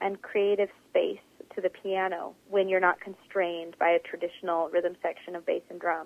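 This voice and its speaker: A normal speaking voice, a woman at a medium pitch and moderate pace, with an American accent. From Oklahoma. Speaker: jazz pianist and vocalist. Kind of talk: interview.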